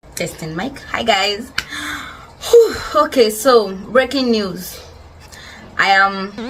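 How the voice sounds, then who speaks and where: Amid noticeable background noise and audible room echo, a woman speaks at a fairly high pitch with ordinary pitch variation, big swings in loudness and long, frequent pauses. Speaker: podcast host. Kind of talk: casual monologue. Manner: fast.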